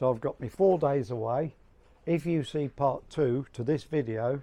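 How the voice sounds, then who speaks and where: This voice has a dark, mellow tone and an English accent, moving at a moderate pace with ordinary pitch variation. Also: man. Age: 60s. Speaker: amateur photographer vlogger. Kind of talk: casual vlog talk. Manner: halting.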